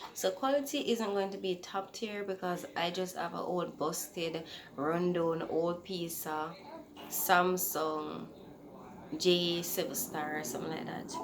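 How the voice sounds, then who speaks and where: Soft-spoken and fairly low-pitched, a woman talks with a Jamaican accent at a fairly slow pace. Room echo is audible, along with noticeable background noise. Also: ordinary pitch variation. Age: 20s. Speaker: podcaster. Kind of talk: casual chat.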